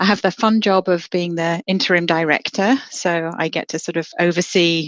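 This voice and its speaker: With an English accent, a woman speaks at a moderate pace. Her pitch is fairly low and her intonation fairly even. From England. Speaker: horticulture professor, apple breeder. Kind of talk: podcast interview. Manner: hesitant, many fillers.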